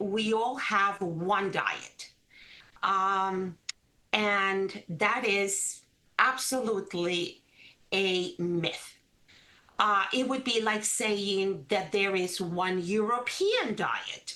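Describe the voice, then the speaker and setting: A woman with a Spanish accent speaks at a very slow pace in a medium pitch, with ordinary pitch variation and long, frequent pauses. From Caribbean coast of Colombia. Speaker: registered dietitian. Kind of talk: interview.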